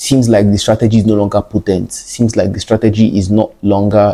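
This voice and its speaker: A man's fairly low, dark, mellow voice at a fairly quick pace with fairly even intonation. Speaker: trading educator. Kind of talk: tutorial. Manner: fast.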